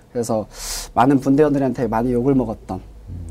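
A man's medium-pitched voice at a very fast pace, in a very clean recording with a silent background. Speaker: discharged soldier and seminary student. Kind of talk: interview.

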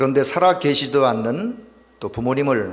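Amid audible room echo, a man speaks at a fairly slow pace with ordinary pitch variation. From South Korea, North Gyeongsang, Yecheon. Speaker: pastor. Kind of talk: sermon with consecutive interpretation. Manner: pausing for interpreter after each sentence.

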